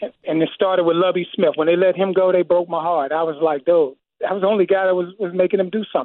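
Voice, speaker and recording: Very fast speech with an American accent. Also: man. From Gary, Indiana (US Midwest). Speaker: radio call-in listener. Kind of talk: casual phone-in chat.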